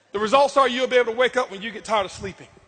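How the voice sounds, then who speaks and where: Shouting with an American accent, a man delivers his words in an intense, animated tone. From Florida, Tampa. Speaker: motivational speaker. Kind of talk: motivational speech. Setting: stage with audience. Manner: loud, yelling.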